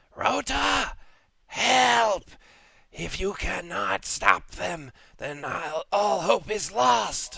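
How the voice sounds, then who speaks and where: Using a put-on character voice, a man hisses at a very slow pace and a fairly high pitch. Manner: hissing.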